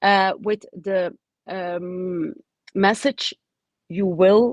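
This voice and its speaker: In a Dutch accent, a woman speaks at a medium pitch with ordinary pitch variation, the sound dry and close with no echo. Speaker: oncologist and professor. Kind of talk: webinar talk. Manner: halting, many fillers.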